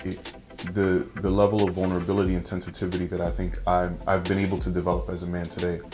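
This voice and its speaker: A man at a very fast pace, his pitch very deep and low, with audible room echo and music in the background. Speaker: founder of a men's website. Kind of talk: interview. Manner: soft-spoken.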